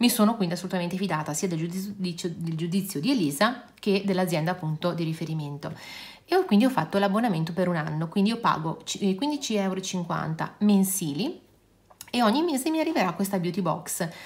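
At a fairly quick pace, a woman speaks with lively intonation. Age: 50s. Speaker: beauty and nail youtuber; nail youtuber. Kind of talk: casual product review vlog.

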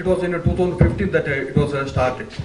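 A man speaks at a moderate pace. Audible room echo and light background noise surround his voice. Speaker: university official introducing a lecture. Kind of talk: formal welcome speech. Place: hall. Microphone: podium.

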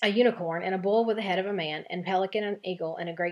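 The speaker uses a natural reading voice.

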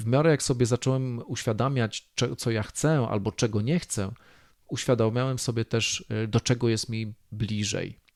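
On a very clean recording with a silent background, a man with a normal speaking voice talks at medium pitch and a moderate pace, with ordinary pitch variation. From Poland, rural. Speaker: podcast host, self-development coach. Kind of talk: solo podcast monologue.

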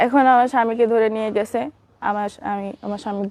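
Her voice sits fairly high for a woman yet has a dark, mellow tone. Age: young. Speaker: woman whose husband is jailed. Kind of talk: interview testimony. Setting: at her in-laws' home.

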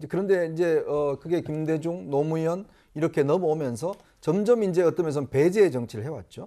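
A man's fairly high, dark and mellow voice with ordinary pitch variation, over a quiet background. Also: moderate pace. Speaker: political commentator. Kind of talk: panel discussion. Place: studio. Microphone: lapel.

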